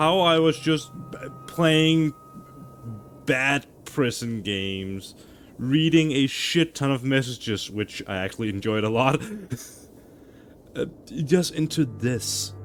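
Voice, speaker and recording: A man at a medium pitch, very slow pace, and long, frequent pauses. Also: lively intonation. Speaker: streamer. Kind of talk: live gameplay commentary. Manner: quiet.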